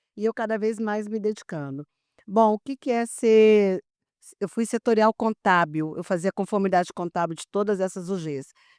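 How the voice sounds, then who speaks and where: Using an ordinary speaking voice, a woman talks at a moderate pace and medium pitch with ordinary variation. The recording is very clean, with a silent background. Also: dry, close sound with no echo. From Brazil, Brasília. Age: 60s. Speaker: public accounting expert. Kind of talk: podcast interview.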